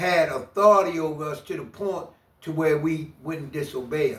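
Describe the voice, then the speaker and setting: There is audible room echo on this recording. A man talks with an American accent. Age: 60s. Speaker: former prisoner. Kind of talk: interview testimony.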